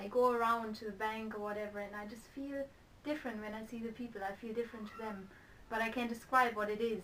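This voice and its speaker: Woman's fairly high voice at a very fast pace, monotone and flat, with audible room echo and noticeable background noise. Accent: German. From Germany. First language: German. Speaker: interviewee. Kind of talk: interview.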